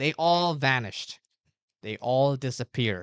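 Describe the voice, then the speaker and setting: The background is quiet. The pace is fairly slow. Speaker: English teacher. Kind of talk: language lesson. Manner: repetitive.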